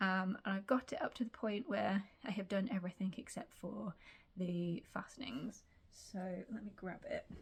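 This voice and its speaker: A somewhat breathy woman with a British accent, medium pitch, ordinary pitch variation and a moderate pace. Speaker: sewing vlogger. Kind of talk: casual vlog chat. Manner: hesitant, many fillers.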